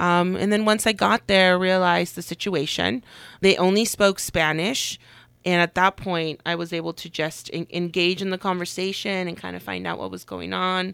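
In a normal speaking voice, a woman with fairly low pitch speaks at a moderate pace with fairly even intonation and big swings in loudness, in a dry, close sound with no echo on a very clean recording with a silent background. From Puebla, Mexico, raised in California Bay Area. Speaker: health nonprofit director. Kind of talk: interview. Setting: studio.

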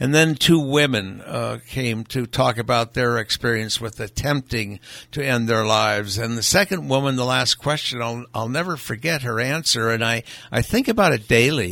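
A man talks at a medium pitch with vocal fry. His tone is bright and sharp. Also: ordinary pitch variation, moderate pace. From Hawaii. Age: 80s+. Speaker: vintner and philanthropist. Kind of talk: interview. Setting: studio. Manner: halting.

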